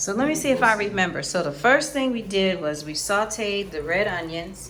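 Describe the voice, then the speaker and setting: A woman with an American accent and a normal speaking voice talks at a moderate pace, her medium pitch carried by lively intonation. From United States. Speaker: cooking student. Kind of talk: casual chat. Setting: kitchen.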